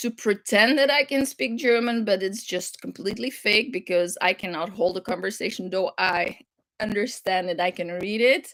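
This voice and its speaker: A woman's bright, sharp voice at a medium pitch with a slight European accent, ordinary pitch variation and a moderate pace. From Flanders, Belgium. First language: French. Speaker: crafting livestream host. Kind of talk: casual chat. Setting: livestream. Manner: halting.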